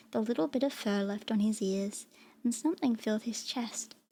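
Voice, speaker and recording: A soft-spoken woman talks at a moderate pace with fairly high pitch and ordinary pitch variation. Her voice is somewhat breathy with a dark, mellow tone. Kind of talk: storybook narration read aloud.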